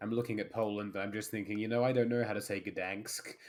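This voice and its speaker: Fairly quick delivery with an Australian accent and fairly even intonation. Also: man. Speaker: tabletop game player. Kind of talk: casual chat.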